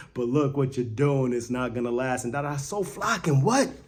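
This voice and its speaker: With an American accent, the speaker talks at a very fast pace amid audible room echo. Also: man. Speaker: sports fan video creator. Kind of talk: casual post-game reaction vlog. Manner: animated; loud.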